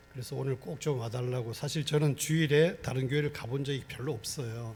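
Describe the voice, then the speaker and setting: A man speaks at a fairly quick pace in a medium pitch with ordinary pitch variation. Audible room echo surrounds his voice. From Gangwon Province, Korea. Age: 60s. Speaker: pastor. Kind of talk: sermon. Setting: church.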